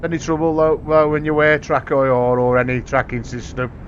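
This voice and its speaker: In a monotone, flat intonation, a man speaks at a fairly high pitch. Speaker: gaming streamer. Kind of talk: casual live-stream chat while gaming. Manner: relaxed, chatty.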